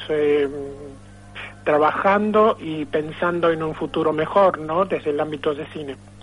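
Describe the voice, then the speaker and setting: Over noticeable background noise, a man speaks at a very slow pace. His pitch is fairly high and his intonation fairly even. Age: 60s. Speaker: film club founder. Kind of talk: phone interview. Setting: phone call. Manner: halting, many fillers.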